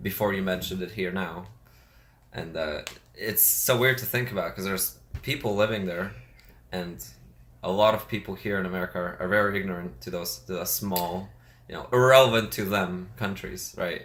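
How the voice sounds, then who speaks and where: Speaking with a Russian accent, a man uses a very deep, low pitch and ordinary pitch variation, with audible room echo around him. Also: moderate pace. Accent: Russian accent, noticeable. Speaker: podcast co-host. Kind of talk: casual chat. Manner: halting.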